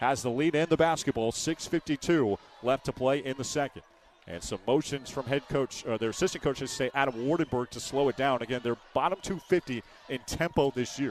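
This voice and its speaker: Dry and close with no echo, a man with a plain, everyday voice and a medium pitch speaks at a fairly quick pace with ordinary pitch variation. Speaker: sports play-by-play announcer. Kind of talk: radio basketball play-by-play. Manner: fast.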